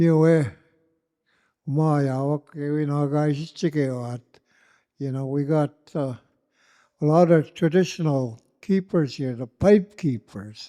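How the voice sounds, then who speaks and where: A man with a dark, mellow tone and fairly high pitch speaks at a very slow pace, leaving long, frequent pauses, with ordinary pitch variation. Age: 80s+. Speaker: elder. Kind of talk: closing remarks at a community gathering. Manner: halting, many fillers.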